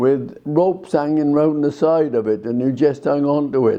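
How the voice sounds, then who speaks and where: A man's fairly high voice at a fairly slow pace, dark and mellow in tone. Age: 80s+. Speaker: war veteran. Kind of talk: testimony. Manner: halting.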